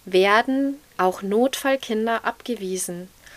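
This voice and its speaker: A woman's normal speaking voice, fairly high in pitch, at a fairly slow pace with ordinary pitch variation, dry and close with no echo. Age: 30s. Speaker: mother of a child needing intensive care. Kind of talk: interview.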